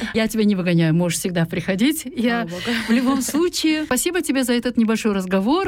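A woman speaks with a Kazakh accent. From Kazakhstan. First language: Kazakh (speaking Russian). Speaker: radio host. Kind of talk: bilingual radio talk show. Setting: studio.

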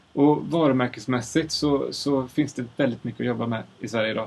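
Amid noticeable background noise, a man talks at a fairly quick pace in a medium pitch with fairly even intonation. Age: 30s. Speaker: sound designer. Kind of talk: casual chat. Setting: studio. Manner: halting. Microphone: far from the mic.

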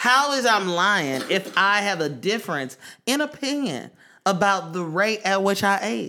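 In an American accent, a man speaks with a raised, projected voice, high-pitched for a man and with very wide pitch swings. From East Oakland, California.

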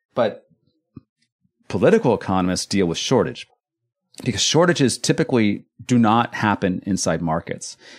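A man with a Californian accent speaks at a moderate pace and medium pitch, with very wide pitch swings and long, frequent pauses. The recording is very clean with a silent background, dry and close with no echo. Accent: Californian American. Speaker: economist, university lecturer. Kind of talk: interview.

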